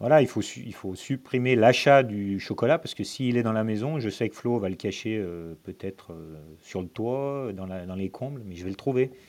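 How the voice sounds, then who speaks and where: A calm man with a fairly low pitch, lively intonation and a fairly slow pace, on a very clean recording with a silent background. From Lyon, France. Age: 40s. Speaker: amateur ultra-distance cyclist, electrical business owner. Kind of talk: casual chat.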